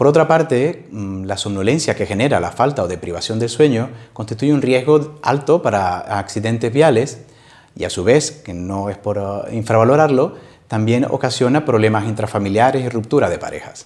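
A man at a moderate pace with ordinary pitch variation against a quiet background. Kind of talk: interview answer. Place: office. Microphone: lapel.

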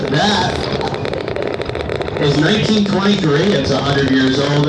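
Over loud background noise and audible room echo, a man is heard speaking. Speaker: train crew narrator. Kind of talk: onboard announcement and commentary. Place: train.

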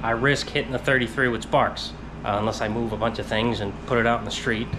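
A man talks while noticeable background noise is heard. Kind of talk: casual vlog chat. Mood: mildly frustrated, reflective. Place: garage. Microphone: phone near.

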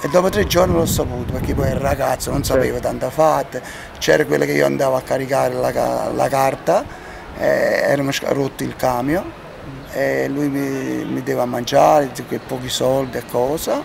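The man's moderately paced talk sits over noticeable background noise. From Campania. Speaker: local resident; interviewee, former film actor. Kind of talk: street interview. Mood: animated, reminiscing. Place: street.

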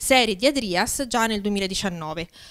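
The background is quiet. Over it, a woman speaks fairly slowly. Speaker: conference organizer. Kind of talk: opening remarks. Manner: halting. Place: classroom. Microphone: handheld.

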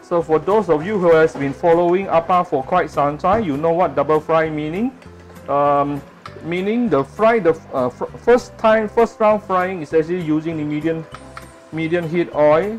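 Moderate pace, with faint music in the background. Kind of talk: cooking tutorial. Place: kitchen. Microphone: phone near.

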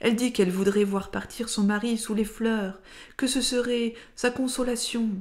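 The speech unfolds at a fairly slow pace. Its tone is dark and mellow. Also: woman. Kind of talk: literary audiobook reading. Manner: slow, measured, expressive literary narration that shifts into dialogue voices; formal and lyrical, carefully phrased.

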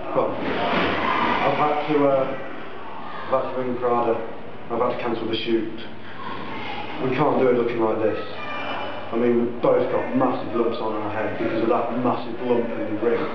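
A man speaks at a moderate pace. The recording has audible room echo and loud background noise. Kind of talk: in-character wrestling promo. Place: home room. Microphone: camera far.

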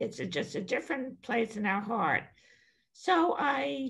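Against a quiet background, a woman speaks fairly slowly in a fairly high, somewhat breathy voice with very wide pitch swings. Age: 80s+. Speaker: attorney and author on senior life; attorney. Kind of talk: podcast interview. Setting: podcast recording. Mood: candid, reflective. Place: home room. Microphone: webcam.

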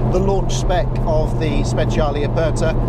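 The pace is fairly slow and the sound dry with no echo. Loud background noise runs underneath. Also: man. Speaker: car reviewer. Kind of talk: car review commentary. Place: car.

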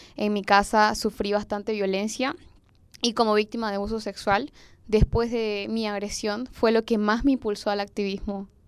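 A woman speaks at a moderate pace in a monotone, flat intonation. The sound is dry with no echo, and the background is quiet. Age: young. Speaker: youth activist; podcast guest or co-host. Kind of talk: personal testimony in panel chat. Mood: earnest, personal, serious. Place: home room. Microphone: handheld.

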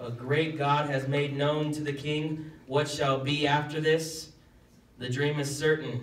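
A man talks at a fairly slow pace, with audible room echo. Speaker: pastor. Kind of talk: scripture reading and prayer. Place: church.

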